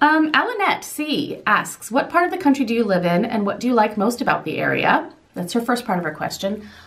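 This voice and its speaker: Over noticeable background noise, a woman with an American accent talks at a fairly quick pace with lively intonation. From southern Indiana. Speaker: lifestyle vlogger. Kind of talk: Q&A vlog.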